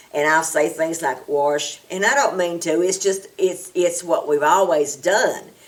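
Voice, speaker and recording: Over noticeable background noise, a woman with a strong southern Appalachian accent talks at a fairly slow pace with hardly any pauses, her fairly low voice showing ordinary pitch variation and very even loudness. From Appalachia, US South. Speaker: community center worker. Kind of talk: interview testimony.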